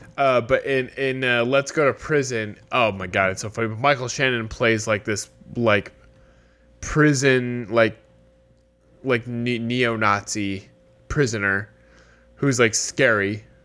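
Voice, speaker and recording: Over music in the background, a man with a medium pitch talks at a fairly slow pace with fairly even intonation and long, frequent pauses. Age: 30s. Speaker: podcast co-host. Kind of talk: casual chat.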